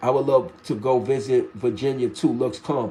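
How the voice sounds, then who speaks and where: In a dark, mellow tone, the man keeps to a moderate pace. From New York. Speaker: livestream host. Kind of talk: casual chat. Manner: casual, repetitive.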